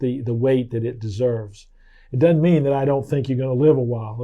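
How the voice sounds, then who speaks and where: A man's plain, everyday voice, medium in pitch, with fairly even intonation. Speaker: doctor. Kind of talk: interviewer questions.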